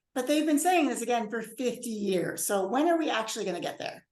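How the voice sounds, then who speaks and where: A woman talks at a fairly quick pace in a high pitch with very wide pitch swings. Room echo is audible. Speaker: bioethics professor. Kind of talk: lecture. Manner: fast.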